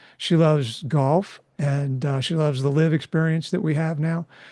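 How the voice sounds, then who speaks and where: At a fairly slow pace, a man speaks in a dark, mellow tone. His pitch is fairly high and his intonation fairly even. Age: 60s. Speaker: energy risk engineer and amateur golfer. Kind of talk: interview conversation. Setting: podcast. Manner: hesitant with many fillers.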